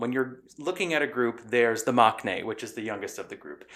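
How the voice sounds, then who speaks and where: The recording is very clean, and the background is silent. A man talks in an American accent. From Queens, New York. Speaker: podcast panelist discussing K-pop. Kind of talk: casual podcast chat. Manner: conversational, animated.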